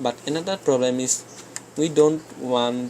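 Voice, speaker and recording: The speech moves at a fairly slow pace with fairly even intonation. Noticeable background noise is present. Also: man. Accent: non-native. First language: not English. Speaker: game development tutor. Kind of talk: screen-recorded coding tutorial. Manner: halting, frequent self-corrections.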